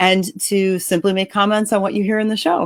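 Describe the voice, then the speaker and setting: A plain, everyday voice from a woman, medium in pitch, at a fairly quick pace. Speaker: author and podcast host. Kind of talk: podcast host introduction.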